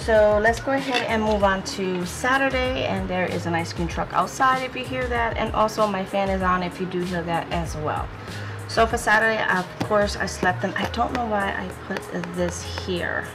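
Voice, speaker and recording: Clear music sounds in the background. Over it, a woman speaks at a moderate pace. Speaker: planner decorating vlogger. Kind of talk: casual vlog chat.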